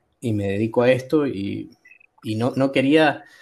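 His voice has a dark, mellow tone, a man speaking at a medium pitch. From Argentina, San Juan. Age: 20s. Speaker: student and worker. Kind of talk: casual chat. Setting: online call from work.

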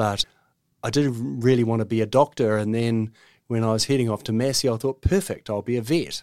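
In a New Zealand accent, a man speaks at a fairly low pitch. His intonation stays fairly even. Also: very clean recording, silent background. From New Zealand, Auckland. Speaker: veterinary surgeon. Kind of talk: interview. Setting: studio.

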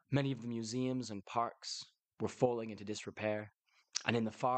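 The intonation stays fairly even throughout. It is plain reading aloud against a quiet background.

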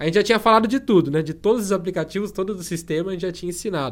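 A man's voice with ordinary pitch variation. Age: 20s. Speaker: tech youtuber. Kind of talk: interview.

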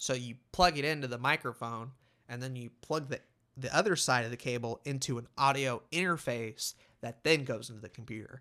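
A man speaks at medium pitch in a bright, sharp tone, with ordinary pitch variation and big swings in loudness. The recording is very clean, with a silent background. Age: 20s. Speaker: podcaster. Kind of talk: solo monologue podcast. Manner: casual, conversational.

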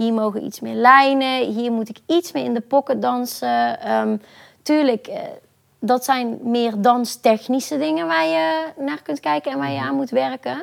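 Very wide pitch swings run through a woman's speech, set at a fairly high pitch. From Netherlands, Brabant (Boxtel). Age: 20s. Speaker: professional dancer. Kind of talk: interview. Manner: hesitant, many fillers.

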